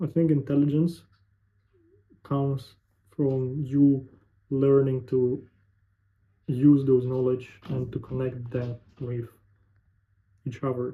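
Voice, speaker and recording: A man's somewhat breathy, medium-pitched voice at a very slow pace, with monotone, flat intonation and long, frequent pauses. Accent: Russian. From Russia. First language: Russian. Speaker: sales representative, vlogger. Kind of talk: casual monologue to camera. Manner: halting, searching for words.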